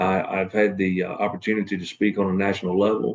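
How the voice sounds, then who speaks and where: A fairly low-pitched man with a Southern US accent at a moderate pace, against a quiet background. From North Carolina, US South. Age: 40s. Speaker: assistant fire chief and student. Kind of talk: class self-introduction video. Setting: at work in fire station. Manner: hesitant, many fillers.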